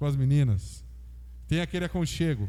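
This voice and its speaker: A man talks at a moderate pace. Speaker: pastor. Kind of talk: sermon. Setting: church.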